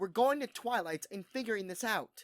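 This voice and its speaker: A put-on character voice with fairly high pitch delivers its lines at a moderate pace. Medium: read story.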